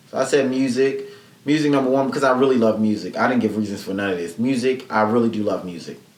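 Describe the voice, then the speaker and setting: A man talks at a medium pitch with ordinary pitch variation. Noticeable background noise and audible room echo fill the recording. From Mississippi. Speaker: podcast host. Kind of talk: casual solo podcast chat. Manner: fast.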